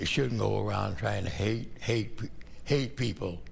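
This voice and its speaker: Vocal fry runs through a man's voice with an American accent. His intonation is lively, and audible room echo surrounds it. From US Midwest, Detroit. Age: 80s+. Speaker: war veteran. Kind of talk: interview testimony. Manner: halting, repeats words.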